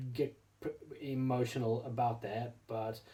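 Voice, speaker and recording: This man has a medium-pitched voice with a dark, mellow tone and some breathiness. His intonation stays monotone and flat. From South Africa. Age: 40s. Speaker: RC hobby YouTuber. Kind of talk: casual vlog monologue. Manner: halting, many repetitions and fillers.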